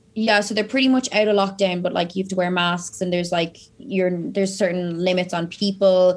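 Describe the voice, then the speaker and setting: Someone speaks at a fairly quick pace with an Irish accent. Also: woman. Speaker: online fitness and nutrition coach. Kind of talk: casual interview chat. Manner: animated.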